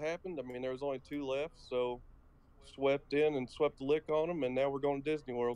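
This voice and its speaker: A man speaks with a strong Southern US accent at a fairly quick pace, in a fairly high pitch with a dark, mellow tone. His intonation is monotone and flat, and the sound is dry and close with no echo. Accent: strong southern twang. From Kentucky. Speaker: esports player. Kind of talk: casual interview.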